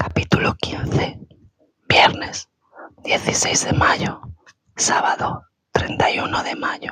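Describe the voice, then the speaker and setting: The speaker whispers very slowly, with long, frequent pauses throughout. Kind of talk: ASMR book reading. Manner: whispered.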